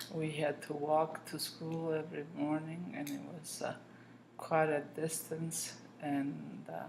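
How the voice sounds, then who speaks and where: A woman speaks at a very slow pace with a very deep, low pitch. Her intonation is fairly even, and room echo is audible. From southern Italy. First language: Italian. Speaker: grandmother interviewed. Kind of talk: interview.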